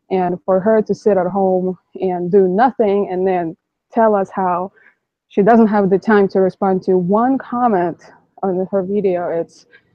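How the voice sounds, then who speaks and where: In a Russian accent, a woman talks with fairly even intonation. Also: medium pitch for a woman, fairly slow pace. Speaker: YouTuber, van-life vlogger. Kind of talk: live stream discussion. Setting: live stream online call.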